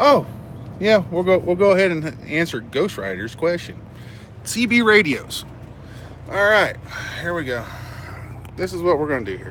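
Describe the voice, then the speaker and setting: A man with an American accent speaks at a moderate pace in a high voice, with very wide pitch swings and big swings in loudness. Long, frequent pauses break up his speech, and there is noticeable background noise. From United States. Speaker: truck driver and trainer. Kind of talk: live stream Q&A. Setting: live stream. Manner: halting, many fillers.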